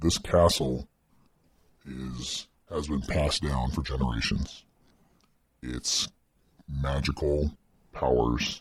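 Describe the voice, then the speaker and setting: In a put-on character voice, a man speaks very slowly at a very deep, low pitch, leaving long, frequent pauses. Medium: actual play. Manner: gentle, reassuring; grave, explanatory.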